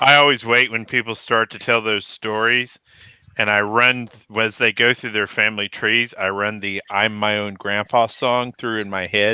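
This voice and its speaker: Speaking with a Texas accent at a moderate pace, a man keeps a fairly low pitch and monotone, flat intonation. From Texas (Killeen). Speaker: military veteran. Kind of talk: casual chat.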